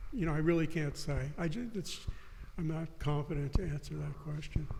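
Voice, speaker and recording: Audible room echo surrounds this moderately paced speech in an American accent, which shows ordinary pitch variation. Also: man. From US South, New Orleans. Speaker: writer and philosopher. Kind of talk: interview discussion. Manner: halting, many restarts.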